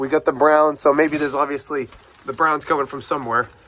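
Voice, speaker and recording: A man with fairly high pitch speaks in a New England accent. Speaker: car repair youtuber. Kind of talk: casual product review walkthrough. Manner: casual with frequent fillers.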